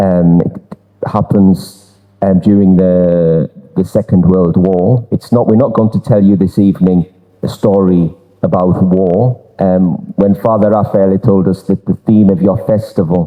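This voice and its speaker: Over noticeable background noise, a man with a Durham accent speaks in a very deep, low pitch with fairly even intonation and very even loudness. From northern England, Durham. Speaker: exhibition presenter. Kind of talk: public presentation. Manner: halting, many repetitions and fillers.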